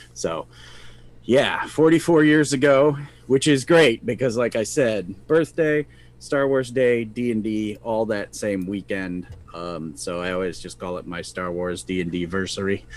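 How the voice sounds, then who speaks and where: A man with a normal speaking voice talks at a fairly low pitch. His pace is fairly slow and his intonation lively. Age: 50s. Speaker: podcast co-host, tabletop gamer. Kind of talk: casual chat. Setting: live stream.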